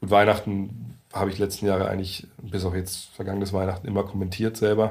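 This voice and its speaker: Very fast and somewhat breathy, a man speaks with a very deep, low pitch and monotone, flat intonation, and audible room echo surrounds him. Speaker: basketball journalist. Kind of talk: casual interview. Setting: meeting room in Berlin.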